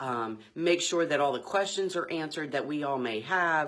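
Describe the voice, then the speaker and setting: A woman speaks with a very deep, low pitch. Her intonation is lively. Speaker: title company owner hosting a video series. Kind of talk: casual informational livestream talk. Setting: live video stream.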